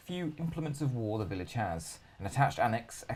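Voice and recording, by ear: The clip is someone reading aloud in a natural voice, with lively intonation.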